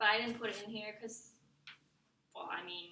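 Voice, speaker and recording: The voice has a bright, sharp tone with fairly even intonation. Audible room echo surrounds it. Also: woman. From Vietnam. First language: Vietnamese. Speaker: student. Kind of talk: class presentation. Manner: halting, many fillers.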